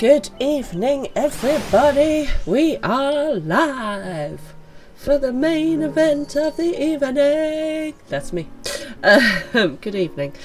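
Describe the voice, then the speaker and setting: With an English accent and lively intonation, the speaker moves at a very slow pace over music in the background. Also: woman, high pitch for a woman. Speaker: game streamer. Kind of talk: live game stream chat. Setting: live stream at home.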